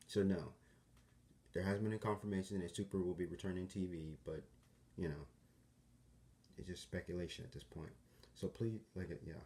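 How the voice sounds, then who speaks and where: Pausing long and often, a man speaks with a very deep, low pitch, a dark, mellow tone, and fairly even intonation. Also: moderate pace. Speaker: YouTuber. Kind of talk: casual talk to camera. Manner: hesitant, with stutters and pauses.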